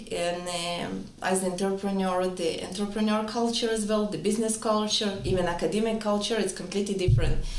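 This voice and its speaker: The voice has fairly even intonation, with audible room echo and noticeable background noise. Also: woman. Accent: slight non-native. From Israel. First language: Hebrew or Russian. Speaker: entrepreneur, wellness clinic co-founder. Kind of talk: interview.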